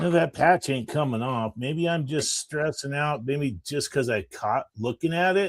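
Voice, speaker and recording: An ordinary speaking voice: a man at a fairly high pitch, moving at a fairly slow pace with hardly any pauses. His pitch varies in an ordinary way, and the sound is dry and close with no echo. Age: 60s. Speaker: tradesman who sells hats. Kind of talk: casual chat.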